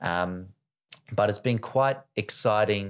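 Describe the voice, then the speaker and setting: Against a quiet background, the words come at a very slow pace. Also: man. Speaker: fintech startup co-founder; guest. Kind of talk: podcast interview. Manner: hesitant, many fillers. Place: studio. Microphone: studio mic.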